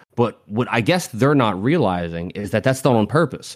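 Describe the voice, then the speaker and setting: A man's fairly low voice at a very fast pace, on a very clean recording with a silent background. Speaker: podcast co-host. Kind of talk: casual chat.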